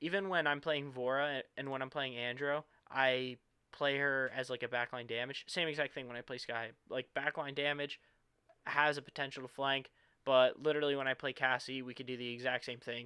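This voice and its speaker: Here a man talks fairly quickly at a medium pitch in a monotone, flat intonation. His tone is bright and sharp. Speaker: gaming YouTuber. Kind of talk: gameplay tutorial commentary; channel outro. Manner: casual, filler-heavy.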